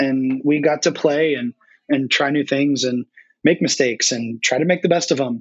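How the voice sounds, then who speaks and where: Speaking with an American accent, a man with an unremarkable speaking voice and a fairly high pitch keeps a moderate pace and fairly even intonation. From North Carolina. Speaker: brewery education director. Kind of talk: casual interview chat. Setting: remote call.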